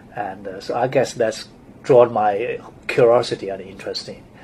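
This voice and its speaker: A man speaks with a strong Chinese accent. His pace is moderate. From China. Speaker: architect. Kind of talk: interview. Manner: halting.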